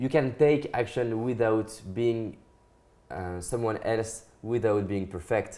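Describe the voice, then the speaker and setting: Speaking very slowly with a French accent, a man uses a medium pitch, a dark, mellow tone, and ordinary pitch variation. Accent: French accent, non-native English. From France. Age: young. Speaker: motivational speaker. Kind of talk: interview. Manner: halting.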